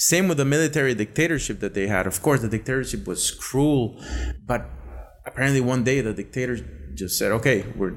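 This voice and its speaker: A man with a Spanish accent talks at a fairly quick pace, with ordinary pitch variation and some vocal fry. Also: medium pitch for a man. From Costa Rica. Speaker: podcast guest. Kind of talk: casual chat.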